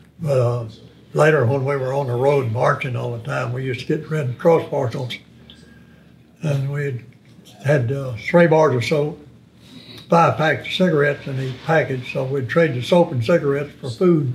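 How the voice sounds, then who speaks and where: A man with an East Texas accent speaks at a moderate pace, his intonation fairly even. He leaves long, frequent pauses over light background noise. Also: fairly high pitch for a man. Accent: Southern US (East Texas). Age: 90s. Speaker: war veteran. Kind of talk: interview.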